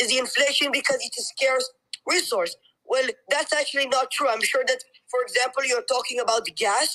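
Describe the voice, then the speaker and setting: With a non-native accent, a woman speaks fairly quickly in a raised, projected voice, with a high pitch and ordinary pitch variation. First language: not English. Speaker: caller. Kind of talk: heated debate.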